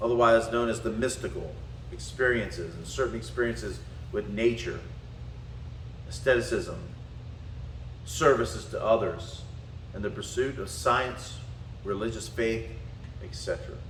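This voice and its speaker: A man with a Southern US accent speaks at a moderate pace, leaving long, frequent pauses. His loudness swings widely, and the room echo is audible. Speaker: spiritual and martial arts teacher. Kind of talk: lecture.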